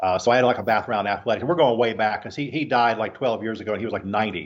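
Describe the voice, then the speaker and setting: Speaking at a very fast pace, a man with an American accent uses a medium-pitched voice. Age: 60s. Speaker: strength trainer. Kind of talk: podcast interview. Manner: hesitant, many fillers.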